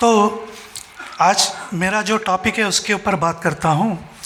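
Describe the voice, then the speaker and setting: A man with a non-native accent speaks in a raised, projected voice, high in pitch with fairly even intonation. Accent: non-native Hindi. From Telangana, India. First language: Telugu (speaking Hindi). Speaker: orthopedic surgeon and religious speaker. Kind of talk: speech at a festival. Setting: stage with audience. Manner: halting.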